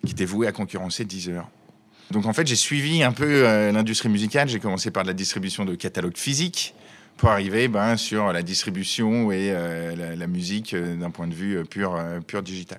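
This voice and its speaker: With a plain, everyday voice, a man speaks at a moderate pace, his fairly low pitch showing ordinary variation. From Savoie, France. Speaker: brewery founder.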